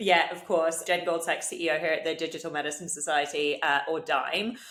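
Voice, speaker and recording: Speaking in a British accent, a woman with a fairly low voice talks at a fairly quick pace with fairly even intonation. Audible echo from the room surrounds her. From UK. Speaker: digital health executive. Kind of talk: podcast interview. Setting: video call.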